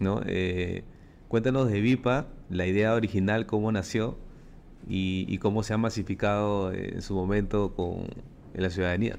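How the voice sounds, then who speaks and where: Speaking in a Peruvian accent, a man talks at a fairly low pitch. His intonation stays fairly even and his pace fairly slow. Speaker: podcast host. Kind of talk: interview.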